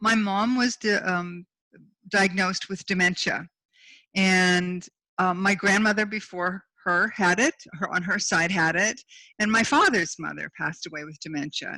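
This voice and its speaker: Recorded very cleanly against a silent background, a woman's bright, sharp tone comes across dry and close with no echo. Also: medium pitch for a woman, ordinary pitch variation, moderate pace. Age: 60s. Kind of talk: interview. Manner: halting.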